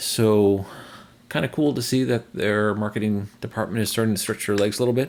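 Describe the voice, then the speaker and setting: Speaking fairly quickly, a man with an American accent uses a normal speaking voice. His pitch varies in an ordinary way. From northern US. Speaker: EV charging news channel host. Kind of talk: video update commentary. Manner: casual.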